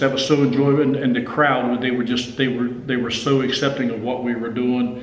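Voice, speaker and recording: Noticeable background noise sits behind a man with an Appalachian accent, talking at a fairly quick pace with hardly any pauses. His medium-pitched voice stays monotone and flat. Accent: Appalachian US Southern. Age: 60s. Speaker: country guitarist and songwriter. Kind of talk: casual interview chat. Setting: recording studio. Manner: halting, many repeated words.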